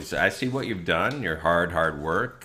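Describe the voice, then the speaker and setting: A man's very deep, low voice with ordinary pitch variation at a moderate pace, with audible room echo. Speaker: online show host, preacher. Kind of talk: informal sermon-style commentary. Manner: animated, joking.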